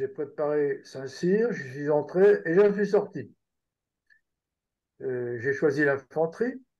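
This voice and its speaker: A man speaks at a very slow pace with a fairly high pitch. The background is quiet. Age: 70s. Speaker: retired army general. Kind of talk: interview.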